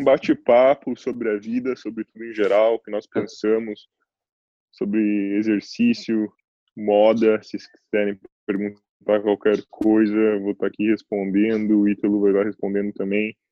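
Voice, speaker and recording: A man talks with a fairly low pitch and monotone, flat intonation. His loudness swings a lot. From Curitiba, Brazil. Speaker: fashion model. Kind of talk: casual chat.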